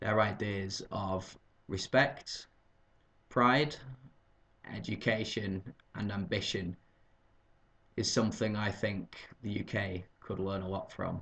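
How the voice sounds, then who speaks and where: With a Lancashire accent, a man talks at a very slow pace, taking long, frequent pauses, his fairly low voice keeping a fairly even intonation. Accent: northern English (Lancashire). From northern England, Burnley, Lancashire. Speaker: English teacher. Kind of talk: video job application. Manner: formal.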